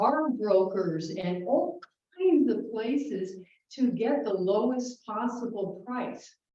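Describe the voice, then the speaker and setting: A woman with an American accent and lively intonation, at a very slow pace. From northern US. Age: 70s. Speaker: consumer advocate. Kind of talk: informal talk. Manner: animated.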